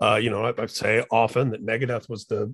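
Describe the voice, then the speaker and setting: With an American accent and a normal speaking voice, a man talks at a fairly quick pace, at a medium pitch, with fairly even intonation. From Indiana, US Midwest. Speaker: podcast host. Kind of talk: casual chat.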